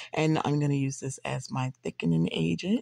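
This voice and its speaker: A woman with a very deep, low pitch speaks at a moderate pace against a quiet background. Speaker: home cook vlogger. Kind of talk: casual cooking tutorial. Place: kitchen. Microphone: phone near.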